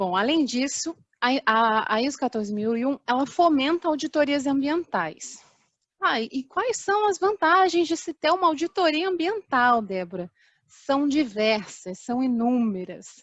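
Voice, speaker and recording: The speaker talks at a fairly slow pace, with very wide swings in pitch. The background is quiet. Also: woman, high pitch for a woman. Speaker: safety and chemical engineer. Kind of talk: online talk presentation. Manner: hesitant, many fillers.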